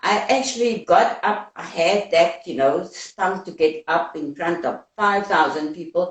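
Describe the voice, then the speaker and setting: A woman with a South African accent. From South Africa, Cape Town. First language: Afrikaans. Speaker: anti-apartheid activist. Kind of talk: interview.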